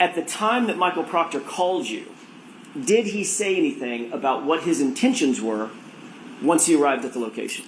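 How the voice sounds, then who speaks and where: The speaker moves at a fairly quick pace with very wide pitch swings, amid noticeable background noise and audible room echo. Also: man, high pitch for a man. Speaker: attorney questioning witness. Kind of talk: courtroom examination. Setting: courtroom.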